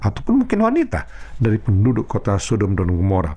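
With a somewhat breathy quality, a man talks using lively intonation. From North Sumatra, Indonesia. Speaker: pastor. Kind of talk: sermon.

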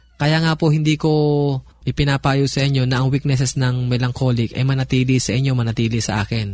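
Somewhat breathy, a man speaks at a fairly quick pace with fairly even intonation. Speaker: pastor. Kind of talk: radio talk on family life.

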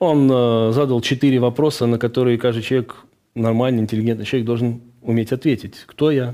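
A man speaks with a dark, mellow tone at medium pitch and a fairly quick pace. His intonation is monotone and flat, and his loudness stays very even. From Azerbaijan, Baku. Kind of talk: radio interview, testimony.

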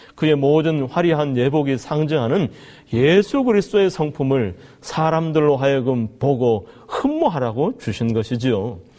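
A man's fairly high-pitched voice, dark and mellow in tone, with lively intonation at a fairly slow pace. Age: 40s. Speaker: pastor. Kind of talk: sermon.

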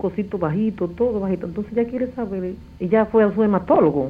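A woman's voice with ordinary pitch variation. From Dominican Republic. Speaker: caller. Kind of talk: phone-in question. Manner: halting.

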